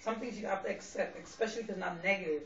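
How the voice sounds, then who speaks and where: A woman with a New York accent speaks with ordinary pitch variation, and room echo can be heard. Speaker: vlogger. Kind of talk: personal monologue vlog. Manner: loud and clear; direct, straightforward.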